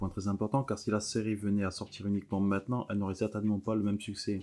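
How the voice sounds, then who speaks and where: Here a man talks at a very fast pace. His fairly low voice carries a dark, mellow tone. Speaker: YouTuber discussing a cartoon series. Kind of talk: commentary video, partly read script.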